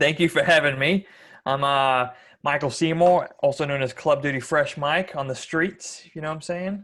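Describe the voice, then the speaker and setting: This man's voice sits fairly high and keeps fairly even intonation at a moderate pace. The recording is very clean, with a silent background. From Australia. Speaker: YouTuber, car enthusiast. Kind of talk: casual podcast chat.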